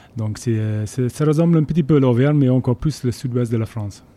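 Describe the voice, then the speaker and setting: This man's voice has a dark, mellow tone, captured on a very clean recording with a silent background. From Scotland, Borders (Jedburgh). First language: English (speaking French). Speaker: rugby team manager. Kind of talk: interview. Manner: halting.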